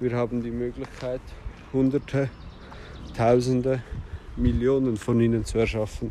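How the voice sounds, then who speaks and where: A man with a medium pitch and monotone, flat intonation, broken by long, frequent pauses. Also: moderate pace. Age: 30s. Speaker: podcaster. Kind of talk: personal monologue. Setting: outdoors. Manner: halting.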